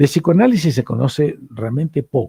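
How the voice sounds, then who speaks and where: Recorded with a dry, close sound with no echo, a man with an Argentine accent speaks in a dark, mellow, somewhat breathy tone with lively intonation. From Argentina. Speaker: psychoanalyst and lecturer. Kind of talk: lecture.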